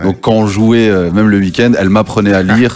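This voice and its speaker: Speaking at a very fast pace, a man keeps a fairly low pitch. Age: 20s. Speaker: rapper. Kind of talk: radio interview.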